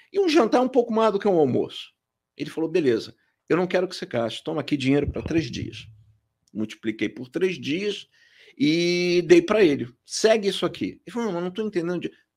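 Very wide pitch swings and big swings in loudness mark this fairly quick delivery, captured in a very clean recording with a silent background. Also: man, high pitch for a man. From Rio de Janeiro, Brazil. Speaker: company president. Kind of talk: casual interview.

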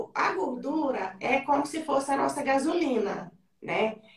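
At a fairly slow pace, a woman speaks in an animated tone with a high pitch and lively intonation. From Brazil, interior of Goiás (Mineiros). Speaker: businesswoman and fitness program creator. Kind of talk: interview. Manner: talkative, animated.

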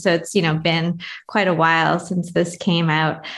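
Speaking in a normal speaking voice, a woman with a fairly low pitch keeps a moderate pace. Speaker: podcast host. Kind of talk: podcast interview. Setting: remote call.

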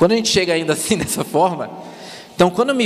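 A man speaks in a Florianópolis accent with lively intonation. Noticeable background noise runs under the recording. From Palhoça, Santa Catarina, Brazil. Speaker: former missionary. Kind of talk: testimony. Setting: church service with congregation.

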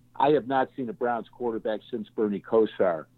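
Speaking with an American accent, a man keeps a moderate pace and a medium pitch. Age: 60s. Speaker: sports writer. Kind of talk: casual sports podcast chat. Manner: halting, repeats words.

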